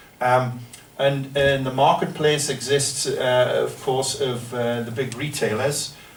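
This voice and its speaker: A man's medium-pitched, monotone voice with a northern English accent at a very slow pace, with noticeable background noise and audible room echo. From northern England. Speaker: professor. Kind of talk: lecture. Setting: seminar room with audience. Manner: hesitant, many fillers.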